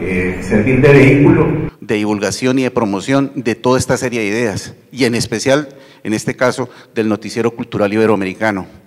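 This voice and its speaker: Talking fairly quickly, a man shows ordinary pitch variation. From Colombia. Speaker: university TV channel manager; panelist. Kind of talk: conference panel talk. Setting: university auditorium with audience. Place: hall. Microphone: handheld.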